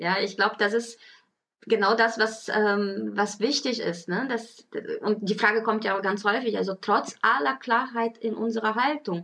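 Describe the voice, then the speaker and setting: A woman with a normal speaking voice talks at a fairly slow pace, her pitch fairly high with ordinary variation. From Brazil. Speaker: podcast co-host, parenting blogger and mother. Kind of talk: casual chat.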